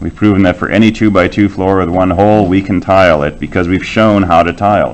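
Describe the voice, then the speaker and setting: A man's very deep, low voice at a very fast pace, with hardly any pauses and fairly even intonation. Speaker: university lecturer. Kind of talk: lecture. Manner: loud.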